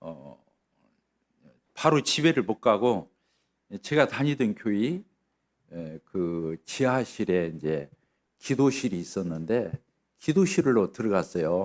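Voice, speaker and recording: A man with a fairly low pitch speaks at a very slow pace, with very wide pitch swings, big swings in loudness and long, frequent pauses. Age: 60s. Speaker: lay preacher. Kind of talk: testimony. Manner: hesitant, many fillers.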